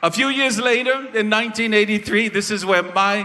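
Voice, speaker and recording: With noticeable background noise behind him, a man speaks in a raised, projected voice at a high pitch. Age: 60s. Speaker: festival presenter giving a tribute. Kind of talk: stage tribute speech.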